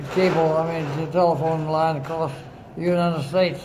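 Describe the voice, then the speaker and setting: Amid noticeable background noise, a man speaks with a fairly high pitch. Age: 80s+. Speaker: Navy veteran, retired government mapmaker. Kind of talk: casual reminiscing with family. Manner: slow, hesitant.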